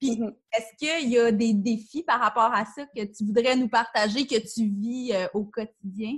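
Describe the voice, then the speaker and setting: A woman with a Quebec accent speaks at a fairly slow pace, her somewhat breathy voice fairly high in pitch and her intonation fairly even. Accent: Québécois French. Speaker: podcast host. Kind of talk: interview.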